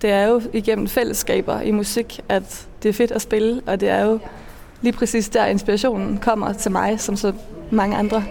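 A woman's fairly high, monotone, flat voice at a moderate pace and very even loudness, with noticeable background noise. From Denmark, Funen. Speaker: cellist, singer and composer. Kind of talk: interview. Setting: outdoors at a train station.

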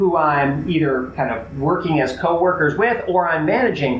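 A man speaks with an American accent at a high pitch, using ordinary pitch variation. Audible room echo surrounds his voice. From Chicago, US Midwest. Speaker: college athletics administrator and former basketball coach. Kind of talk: interview.

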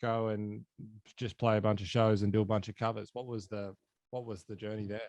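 Speaking with an Australian accent, a man uses a medium pitch at a moderate pace. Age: 20s. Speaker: podcast host. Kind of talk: casual chat.

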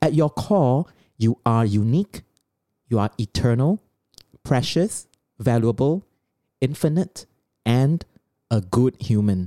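The speaker has a Singaporean accent and talks at a fairly slow pace with long, frequent pauses. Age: 40s. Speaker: podcast co-host. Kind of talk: lecture-style summary; casual chat. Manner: slower, deliberate.

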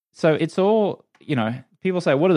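A man with an Australian accent talks at a fairly quick pace, his pitch swinging very widely. The sound is dry and close, with no echo. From Australia, Brisbane. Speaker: former sports TV anchor and entrepreneur. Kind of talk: interview.

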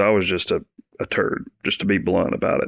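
In an Alabama accent, a man talks at a fairly quick pace with a fairly low pitch. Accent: Southern US (Alabama). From US South, northeast Alabama. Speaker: Army veteran and law enforcement agent. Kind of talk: interview, personal story.

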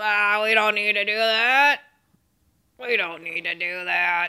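In a put-on character voice, the speaker whines at a fairly high pitch and a fairly slow pace. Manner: whiny, complaining.

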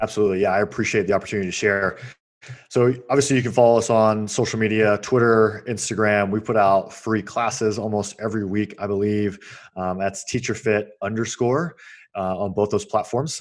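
A man with an American accent talks at a fairly quick pace in an unremarkable speaking voice. His fairly low pitch has fairly even intonation, and the recording is very clean with a silent background. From US South, Georgia. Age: 30s. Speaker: Marine veteran and fitness entrepreneur. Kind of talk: interview conversation.

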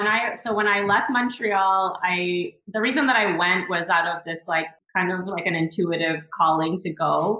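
A woman with a Western Canadian accent speaks at a moderate pace in a medium pitch, with ordinary pitch variation and hardly any pauses. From Northern British Columbia, Canada (Prince George). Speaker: founder of a cultural travel project. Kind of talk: casual interview chat.

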